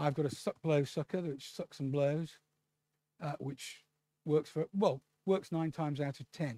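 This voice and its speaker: A man with a British accent speaks at a fairly slow pace in a fairly high voice with a dark, mellow tone and ordinary pitch variation, leaving long, frequent pauses, on a very clean, dry, close recording with no echo and a silent background. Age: 60s. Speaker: ear surgeon. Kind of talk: lecture. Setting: conference with audience. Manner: casual.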